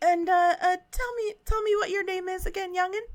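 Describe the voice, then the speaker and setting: A woman puts on a squeaky character voice at an extremely high pitch, keeping a moderate pace and fairly even intonation. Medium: actual play. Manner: stammering, repeats words, forgetful.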